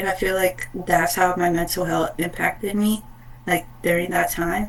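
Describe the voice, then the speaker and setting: A woman at medium pitch with monotone, flat intonation and a fairly slow pace, over noticeable background noise. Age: young. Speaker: interviewee, student. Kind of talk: casual interview. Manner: hesitant, many fillers.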